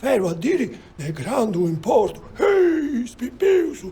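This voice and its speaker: A man does a cartoonish character voice at a fairly slow pace, his pitch swinging very widely. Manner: rambling, folksy.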